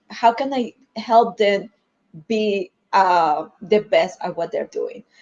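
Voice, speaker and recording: With a Spanish accent, a woman speaks in a fairly high pitch. Her pitch variation is ordinary. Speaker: marketing executive. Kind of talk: panel discussion. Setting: livestream video call. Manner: halting.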